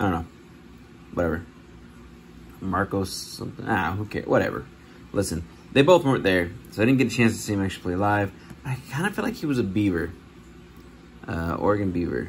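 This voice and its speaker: In a very fast delivery broken by long, frequent pauses, a man speaks at a fairly low pitch with ordinary variation and a somewhat breathy voice over light background noise. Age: 30s. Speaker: sports card collector YouTuber. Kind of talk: casual vlog. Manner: casual, rambling with fillers. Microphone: phone near.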